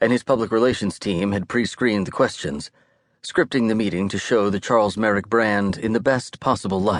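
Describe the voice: Someone is reading aloud plainly. No noise intrudes in the background.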